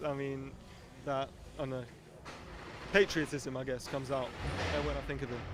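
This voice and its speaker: With noticeable background noise behind him, a man speaks at a fairly quick pace and medium pitch with fairly even intonation. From England. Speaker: racing driver. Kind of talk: interview.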